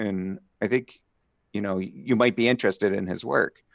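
A man has a normal speaking voice with ordinary pitch variation and a fairly quick pace. The sound is dry and close with no echo, against a quiet background. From Southeast Pennsylvania (Philadelphia suburbs). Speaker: evolutionary biologist. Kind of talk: interview.

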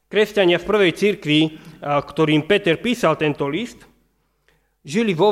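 Speaking fairly slowly, a man with a plain, everyday voice shows ordinary pitch variation. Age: 30s. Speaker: pastor. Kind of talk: sermon.

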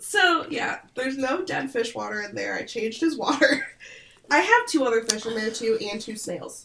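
With an Upper Midwest accent, a woman speaks at a moderate pace in a high pitch, her loudness swinging widely, over noticeable background noise. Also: lively intonation. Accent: Upper Midwest American. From Michigan, US Midwest. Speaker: podcast co-host. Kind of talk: casual chat. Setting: video call. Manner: chatty.

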